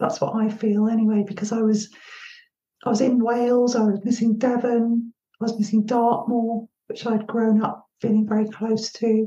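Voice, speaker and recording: At a moderate pace, a woman speaks in a fairly high, somewhat breathy voice with a dark, mellow tone and monotone, flat intonation. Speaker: podcast host. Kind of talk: casual interview.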